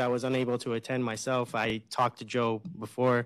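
In a quiet background, a man talks with a medium pitch. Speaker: college staff, committee co-chair; presenter. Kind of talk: staff meeting update. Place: hall. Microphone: podium.

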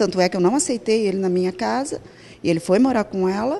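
A woman's dark, mellow tone at a moderate pace. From Matão, São Paulo state, Brazil; São Paulo state, Brazil. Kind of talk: news interview testimony. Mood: distressed, subdued. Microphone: handheld.

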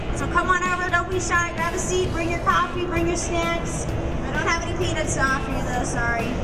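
A woman talks at a fairly quick pace. Background noise is loud. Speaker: trade show presenter. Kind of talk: live product presentation. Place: hall.

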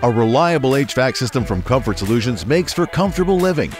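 Faint music plays behind a man whose pitch swings very widely. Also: dry sound with no echo. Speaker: voice actor. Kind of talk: radio commercial read. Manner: playful, upbeat. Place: booth. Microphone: studio mic.

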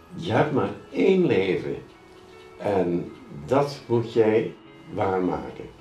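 With audible room echo and faint music in the background, a man speaks at a very slow pace with long, frequent pauses. His pitch swings very widely. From Netherlands. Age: 80s+. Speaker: documentary subject. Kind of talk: documentary interview answer. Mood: cheerful, reflective.

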